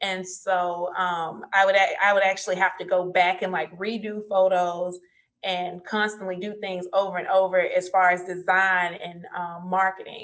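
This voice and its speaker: At a fairly slow pace, a woman speaks at a medium pitch with monotone, flat intonation. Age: 30s. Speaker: entrepreneur, business consultant. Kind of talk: interview.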